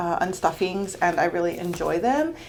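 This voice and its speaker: A woman speaks with lively intonation in a plain, everyday voice. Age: 30s. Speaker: budgeting vlogger. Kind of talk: casual tutorial vlog. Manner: chatty, many fillers.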